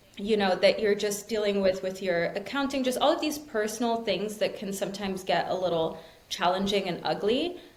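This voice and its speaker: With lively intonation, the speech runs fairly quickly with hardly any pauses, amid noticeable background noise and audible room echo. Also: woman, medium pitch for a woman. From Switzerland, Zurich. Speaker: tarot reader and entrepreneur. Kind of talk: casual interview chat. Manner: animated.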